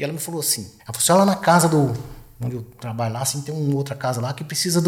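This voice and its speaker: In a room with audible echo, a man speaks very fast at a fairly high pitch with fairly even intonation. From Goiás, Brazil. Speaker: retired military police colonel. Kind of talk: casual interview chat. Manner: halting, repeats words.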